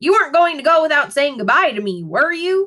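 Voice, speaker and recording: Using a put-on character voice, a woman speaks at a high pitch with very wide pitch swings and a fairly quick pace. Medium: read story. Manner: sweet, cajoling.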